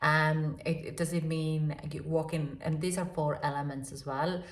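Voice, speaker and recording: With audible room echo, a woman with a non-native accent speaks at a very deep, low pitch and a moderate pace in a monotone, flat intonation. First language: not English. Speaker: tarot reader. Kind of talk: tarot reading. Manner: halting, many fillers.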